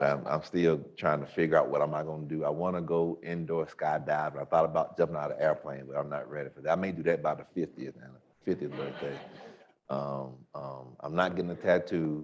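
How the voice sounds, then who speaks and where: In an Alabama accent, a man talks at a fairly quick pace with a very deep, low pitch, fairly even intonation and big swings in loudness. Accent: Southern US (Alabama). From US South, Tuskegee, Alabama. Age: 30s. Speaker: pastor. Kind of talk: panel talk.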